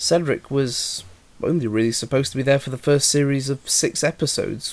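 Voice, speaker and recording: Speaking at a fairly quick pace, a man with a British accent shows ordinary pitch variation. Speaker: YouTube model railway series creator. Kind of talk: Q&A video monologue. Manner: hesitant, many fillers.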